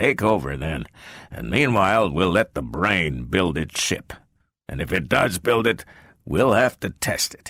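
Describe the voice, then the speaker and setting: A man performs a put-on character voice that is gruff and very deep in pitch. The recording is very clean and the background silent. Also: moderate pace. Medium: read story. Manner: gruff, peevish.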